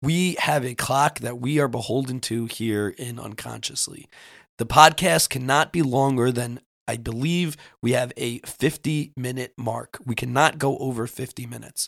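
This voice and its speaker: A man has a plain, everyday voice at a medium pitch. He speaks at a moderate pace on a very clean recording with a silent background. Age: 30s. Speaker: podcast host. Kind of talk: casual chat.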